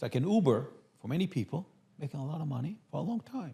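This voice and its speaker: Talking at a very fast pace, a man sounds somewhat breathy. His pitch swings very widely. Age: 60s. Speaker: architect. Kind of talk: podcast interview.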